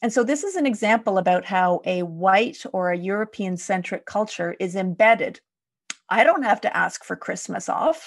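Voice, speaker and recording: A woman with a Canadian accent and a plain, everyday voice, at medium pitch and moderate pace, with lively intonation and a quiet background. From Quebec, Canada (Montreal area). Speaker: leadership development consultant and podcaster. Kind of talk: casual interview conversation.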